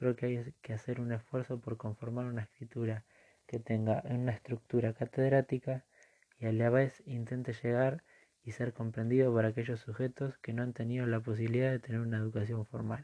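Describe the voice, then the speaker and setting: Fairly quick delivery in a monotone, flat intonation, with a dark, mellow tone and a dry, close sound with no echo. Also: man, medium pitch for a man. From Argentina, Buenos Aires province. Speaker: social work student. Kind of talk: reading aloud a written assignment. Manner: formal.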